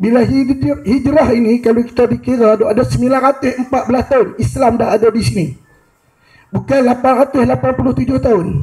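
A man's extremely high pitch at a very slow pace, ordinary pitch variation and a quiet background. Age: 50s. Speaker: audience member, history enthusiast; audience member. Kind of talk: audience comment. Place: hall. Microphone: handheld.

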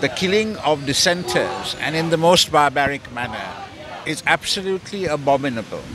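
A man's fairly high voice with ordinary pitch variation, dry with no echo, over noticeable background noise. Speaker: protest speaker. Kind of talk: rally speech, denouncing the murder. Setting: outdoors protest with chanting crowd. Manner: formal, forceful, declamatory, measured. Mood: indignant, condemning. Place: street. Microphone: handheld.

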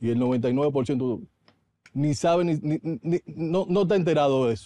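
The man's voice has a dark, mellow tone and ordinary pitch variation. The sound is dry, with no echo. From Dominican Republic. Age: 40s. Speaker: politician. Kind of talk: TV interview. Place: studio. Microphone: studio mic.

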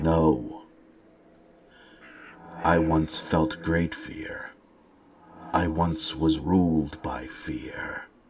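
A man puts on a character voice that is raspy and very deep, with a very low pitch. He talks at a very slow pace. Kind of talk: heroic fantasy speech. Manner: solemn, formal, measured; grave, stoic, speaks without contractions.

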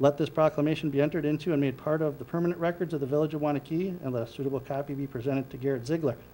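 A man talks at a very fast pace in a dark, mellow tone. His pitch is fairly high and his intonation fairly even.

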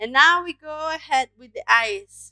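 Over a quiet background, a woman talks at a fairly slow pace with lively intonation and a bright, sharp tone, the sound dry with no echo. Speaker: craft teacher. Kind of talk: tutorial. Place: home room. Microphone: headset.

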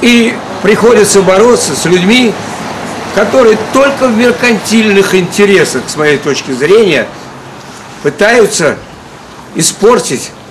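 Speaking very slowly, a man leaves long, frequent pauses and uses lively intonation at a high pitch. Noticeable background noise runs underneath. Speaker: circus clown. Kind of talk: public appeal to camera. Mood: earnest, aggrieved. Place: street. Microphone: camera far.

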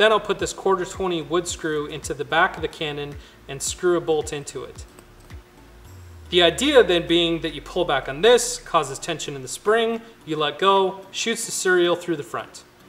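Over faint background music, a man with a high pitch and ordinary pitch variation speaks at a moderate pace, his loudness swinging widely. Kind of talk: DIY tutorial narration. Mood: light, self-deprecating.

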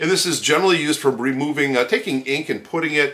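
A man talks at a very fast pace with vocal fry. His tone is bright and sharp. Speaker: art instructor. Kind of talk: tutorial. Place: home room.

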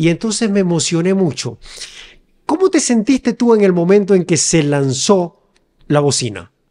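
Over a quiet background, a man with a high pitch and a dark, mellow tone speaks at a moderate pace, his pitch swinging very widely. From Ecuador, Quevedo; Ecuador. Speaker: podcast host. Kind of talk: interview. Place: studio. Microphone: studio mic.

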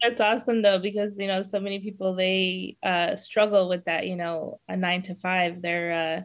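Against a quiet background, a woman speaks at a moderate pace with monotone, flat intonation. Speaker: podcast host. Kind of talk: podcast interview host talk. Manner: hesitant, many fillers. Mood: warm and upbeat. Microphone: webcam.

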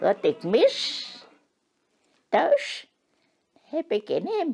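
The voice moves at a very slow pace with very wide swings in pitch. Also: woman, extremely high pitch for a woman. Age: 80s+. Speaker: interviewee, robot test user. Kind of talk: interview answer. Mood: warm, fond. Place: home room.

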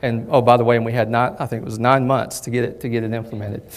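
This man has a Southern US accent. His pitch sits in the medium range. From southern Kentucky. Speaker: bank technology executive. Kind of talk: presentation. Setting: lunch presentation with audience. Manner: hesitant, many fillers. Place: hall.

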